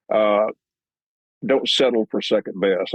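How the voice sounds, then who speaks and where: A man talks in a West Texas accent at a fairly low pitch. His intonation is monotone and flat, his pace moderate. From Texas, Lubbock. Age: 70s. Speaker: musician and producer. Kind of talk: interview. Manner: halting, many repetitions.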